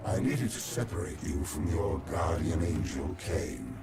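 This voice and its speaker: A man performs a cartoonish character voice at a moderate pace. Loud background noise sits behind him. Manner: menacing, contemptuous.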